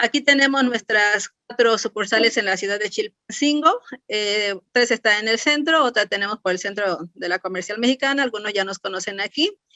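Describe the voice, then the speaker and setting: A woman with a plain, everyday voice, fairly high in pitch, at a moderate pace with hardly any pauses and ordinary pitch variation. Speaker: clinical chemist. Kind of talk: lecture. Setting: webinar.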